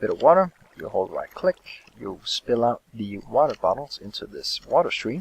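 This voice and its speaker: With a non-native accent, a man speaks at a moderate pace, his loudness swinging widely in a dry, close sound with no echo. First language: not English. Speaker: gaming youtuber. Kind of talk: tutorial. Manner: hesitant, many fillers.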